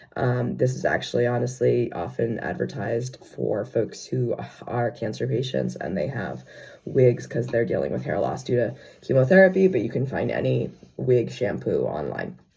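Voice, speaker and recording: A man talks at a moderate speed while noticeable background noise carries on around him. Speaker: theater company owner and performer. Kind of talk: casual talk to camera tutorial. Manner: casual, hesitant.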